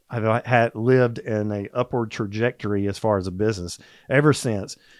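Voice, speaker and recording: A man with a Southern US accent at a medium pitch and a fairly slow pace, ordinary pitch variation, over a quiet background. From US South, Georgia (Atlanta). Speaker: supplement company executive. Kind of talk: casual interview chat.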